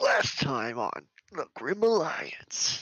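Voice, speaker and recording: The pitch is fairly high. A man is doing a put-on character voice. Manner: dramatic, over-the-top recap.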